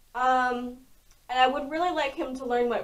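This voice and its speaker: The speaker is a woman with a high voice. Her pitch shows ordinary variation. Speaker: lifestyle vlogger. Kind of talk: casual vlog talk. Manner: loud; casual with many fillers.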